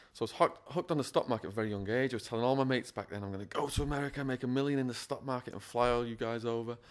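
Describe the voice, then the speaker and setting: This man talks at a very fast pace with an English accent. His pitch is medium, with ordinary variation. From northwest England (Widnes). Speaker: former prisoner, school speaker. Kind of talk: interview, personal testimony.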